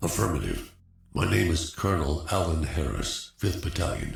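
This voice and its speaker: A man puts on a character voice with a very deep, low pitch. He speaks at a moderate pace, with slight echo. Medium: video game. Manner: clipped military speech.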